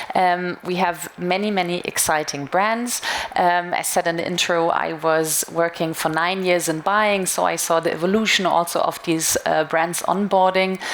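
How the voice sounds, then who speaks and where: A woman's fairly low, monotone voice with flat intonation, very even loudness and hardly any pauses, amid noticeable background noise. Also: moderate pace. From Germany. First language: German. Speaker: retail media marketing manager. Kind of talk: conference talk. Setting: stage with audience.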